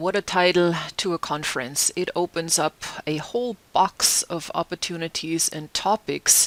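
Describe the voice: This woman has a fairly low pitch and speaks with a German accent. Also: ordinary pitch variation, moderate pace.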